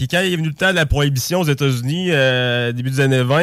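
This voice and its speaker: A man with a plain, everyday voice speaks at a fairly quick pace. His pitch is medium, with ordinary variation. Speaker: music enthusiast. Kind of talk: casual chat.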